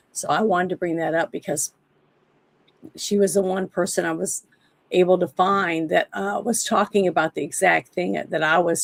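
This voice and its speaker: A woman's fairly low voice with vocal fry, a moderate pace, fairly even intonation, and a dry, close sound free of echo. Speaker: livestream show host. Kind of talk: casual political talk.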